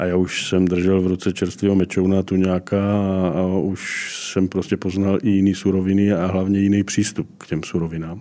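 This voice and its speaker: The tone is dark and mellow, with monotone, flat intonation. The pace is moderate, with hardly any pauses. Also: man, very deep, low pitch for a man. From Brno area, South Moravia. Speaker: chef. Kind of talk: casual chat.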